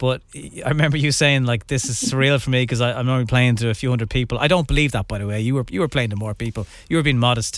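At a fast pace, a man talks with medium pitch and ordinary pitch variation.

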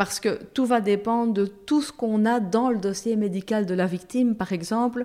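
In a Liège accent, a woman speaks fairly slowly with a dark, mellow tone and a fairly high pitch with ordinary pitch variation. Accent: Liège Belgian French. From Belgium, Brussels. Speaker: lawyer and substitute judge. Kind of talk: casual interview.

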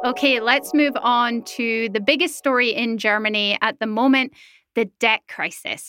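Over music in the background, a woman talks at a moderate pace with a fairly high pitch and fairly even intonation, in a dry, close sound with no echo. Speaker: podcast host. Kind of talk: news podcast hosting. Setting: studio in Berlin.

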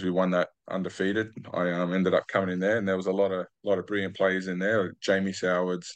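Over a quiet background, a man talks fairly quickly in an Australian accent. His voice is very deep and low, with monotone, flat intonation. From Australia, New South Wales Central Coast. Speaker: retired rugby league player. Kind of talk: interview.

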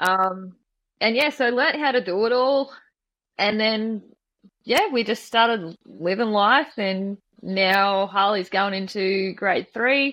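A woman with an Australian accent speaks very slowly at a fairly high pitch. Her loudness stays very even, and her pitch varies in an ordinary way. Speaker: guest sharing life story. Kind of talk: personal testimony interview.

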